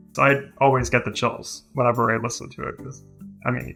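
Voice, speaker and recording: A man races through his words at a very fast pace while music plays in the background. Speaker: linguistics PhD student. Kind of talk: interview answer.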